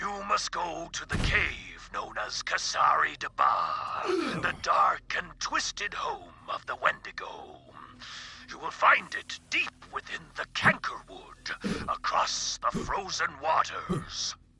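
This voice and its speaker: A put-on character voice from a man, fairly slow in pace. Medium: video game. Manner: hearty, grandiose.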